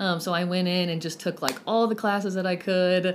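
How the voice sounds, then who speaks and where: A woman with a Texan accent speaks at a fairly low pitch with fairly even intonation. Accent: Texan American. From Lubbock, Texas. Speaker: counselor. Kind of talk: interview. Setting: in-person, headmaster's office.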